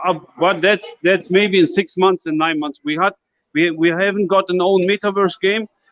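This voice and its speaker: A man talks with a non-native accent. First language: not English. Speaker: crypto project team member. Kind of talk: live Q&A in an online voice chat. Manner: halting.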